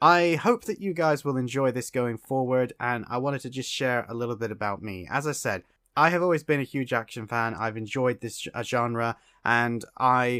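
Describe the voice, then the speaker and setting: Over a very clean recording with a silent background, a man speaks in a plain, everyday voice at a medium pitch and a moderate pace. The sound is dry and close with no echo, and his pitch varies in an ordinary way. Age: 30s. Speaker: podcast host. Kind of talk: casual monologue. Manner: rambling, conversational with fillers.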